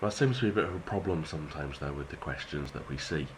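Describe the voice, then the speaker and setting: Lively intonation and a fairly quick pace from a man with a British accent. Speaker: maths teacher. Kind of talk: educational tutorial.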